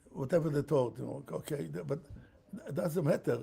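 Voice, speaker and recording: Dark and mellow in tone, a man's voice shows vocal fry and very wide pitch swings. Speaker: rabbi on tekhelet. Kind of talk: interview. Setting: live stream. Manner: halting.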